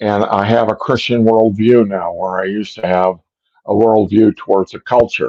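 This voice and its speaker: A man talks in a fairly low pitch with a dark, mellow tone. His intonation is monotone and flat, at a moderate pace. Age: 70s. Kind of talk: testimony. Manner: halting.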